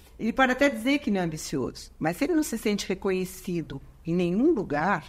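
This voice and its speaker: The voice belongs to a woman. She moves through very wide swings in pitch. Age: 70s. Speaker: psychologist and couples therapist. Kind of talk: interview conversation. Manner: hesitant, with frequent fillers.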